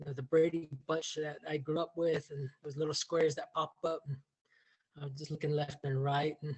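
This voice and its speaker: A somewhat breathy man with an American accent, monotone, flat intonation and a fairly quick pace. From Navajo Nation, US Southwest. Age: 50s. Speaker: contributing author, educator. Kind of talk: personal reflection at book launch. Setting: video call. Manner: halting, many repetitions and fillers.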